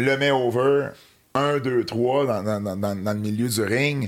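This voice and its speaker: This is a man at medium pitch. He speaks at a very slow pace. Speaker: wrestling historian and commentator. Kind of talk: casual chat.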